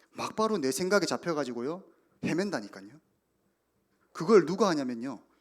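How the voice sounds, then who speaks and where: Animated in tone, a man with a fairly high pitch and vocal fry swings very widely up and down in pitch. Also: long, frequent pauses, big swings in loudness. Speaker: youth pastor. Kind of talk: sermon.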